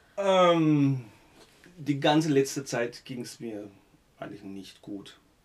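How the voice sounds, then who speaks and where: A man talks with ordinary pitch variation. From Germany, Baden (Gernsbach). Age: 50s. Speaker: musician. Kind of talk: casual interview.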